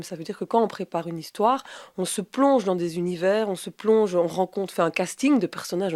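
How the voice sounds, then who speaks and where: A woman talks at a fairly quick pace with medium pitch and ordinary pitch variation. The recording is very clean, with a silent background and a dry, close sound with no echo. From Rochefort region, Belgium. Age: 30s. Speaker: professional storyteller. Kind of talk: interview answer. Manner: hesitant, conversational.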